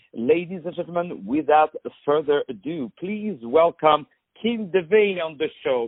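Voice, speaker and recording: Speaking with a non-native accent, a man uses a fairly high pitch and lively intonation at a moderate pace. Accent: foreign. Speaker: radio interviewer. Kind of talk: interview.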